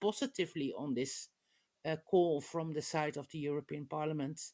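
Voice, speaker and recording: Speaking at a moderate pace with a Dutch accent, a woman is heard on a very clean recording against a silent background. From Netherlands. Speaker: politician. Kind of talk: panel discussion. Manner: halting, many filler sounds.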